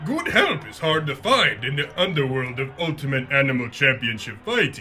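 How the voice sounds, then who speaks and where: Put-on character voice from a man, clear background noise behind it, moderate pace. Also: medium pitch for a man. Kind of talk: 1950s radio villain. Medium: audio drama. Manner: smooth, self-assured.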